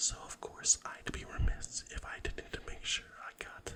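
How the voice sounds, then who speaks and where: A man is whispering at a fairly slow pace. Noticeable background noise is present. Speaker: ASMR and podcast creator. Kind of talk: ASMR storytime. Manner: whispered, soft.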